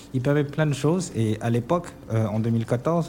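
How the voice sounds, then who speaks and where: A man at a moderate pace, a normal speaking voice with ordinary pitch variation. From Senegal. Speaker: bank marketing director. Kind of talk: radio interview. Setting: remote line (duplex) to radio studio.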